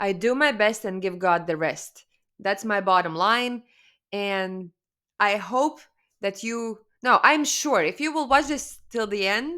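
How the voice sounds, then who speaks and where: A woman with a Latvian accent speaks at a very slow pace, her tone bright and sharp and her intonation lively. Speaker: spiritual coach. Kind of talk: webinar presentation. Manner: casual, halting with fillers.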